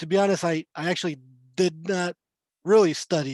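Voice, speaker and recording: A man with a Spanish accent speaks at a high pitch. The sound is dry and close with no echo, over a quiet background. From Chile. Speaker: court interpreter. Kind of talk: panel talk on video call.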